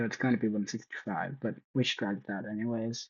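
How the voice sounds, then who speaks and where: Mumbling at a moderate pace, a man speaks at medium pitch with fairly even intonation. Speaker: student. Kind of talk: tutorial. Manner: halting.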